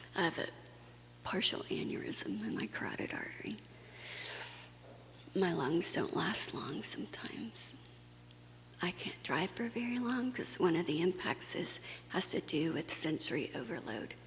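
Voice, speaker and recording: Whispering, a woman keeps a moderate pace. Her speech has long, frequent pauses. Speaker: conference speaker. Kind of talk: personal testimony talk.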